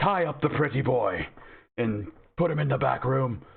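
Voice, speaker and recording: A man's put-on character voice, shrill and medium-pitched, at a moderate pace. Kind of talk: noble, human-like. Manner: commanding.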